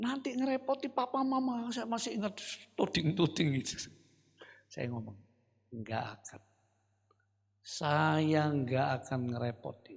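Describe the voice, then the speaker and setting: Animated and high-pitched, a man swings his pitch very widely, talking at a fairly slow pace with long, frequent pauses. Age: 70s. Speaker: pastor. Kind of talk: sermon. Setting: church.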